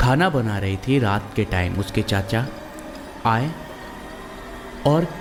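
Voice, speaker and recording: Music plays in the background as a man with a medium pitch speaks with lively intonation and long, frequent pauses. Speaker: voice-over narrator. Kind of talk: horror story narration. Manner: casual, conversational.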